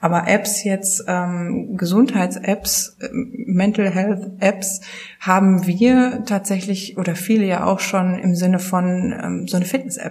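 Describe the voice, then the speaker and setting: Over noticeable background noise, a woman talks at a very slow pace and medium pitch, her intonation fairly even. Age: 30s. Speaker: publishing sales manager. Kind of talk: casual interview.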